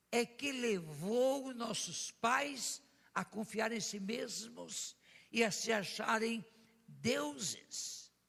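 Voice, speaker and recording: A man speaks very slowly at a high pitch. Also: ordinary pitch variation. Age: 80s+. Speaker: pastor. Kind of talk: sermon.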